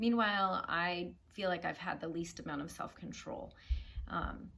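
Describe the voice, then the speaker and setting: Fairly low female voice, moderately paced, with room echo clearly audible. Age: 40s. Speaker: food and weight-loss vlogger. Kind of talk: personal heart-to-heart vlog. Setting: living room at home.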